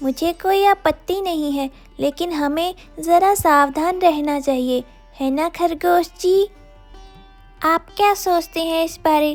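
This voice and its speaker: A cartoonish character voice at a fairly slow pace, with faint music in the background. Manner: earnest, easily worried.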